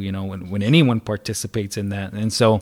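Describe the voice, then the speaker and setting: A man with an American accent talks at a fairly quick pace in an unremarkable speaking voice and a fairly low pitch. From Arizona, Salt River area. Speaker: wellness advocate. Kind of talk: casual interview.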